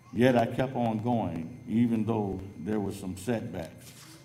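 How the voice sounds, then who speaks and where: In an American accent, a man talks at a fairly slow pace with a fairly low pitch, a dark, mellow tone, ordinary pitch variation and audible room echo. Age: 60s. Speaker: adult education graduate. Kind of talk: graduation speech.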